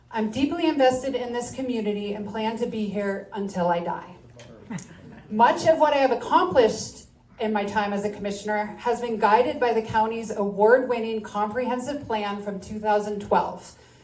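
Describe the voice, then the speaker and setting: A woman at a fairly high pitch with ordinary pitch variation, against noticeable background noise. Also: moderate pace. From upstate New York. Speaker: county commissioner candidate. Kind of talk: candidate forum speech.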